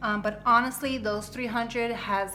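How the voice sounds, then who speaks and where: A woman talks at a fairly quick pace with fairly even intonation, with audible room echo and noticeable background noise. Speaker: budgeting vlogger. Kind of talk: casual budgeting tutorial. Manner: chatty, many fillers.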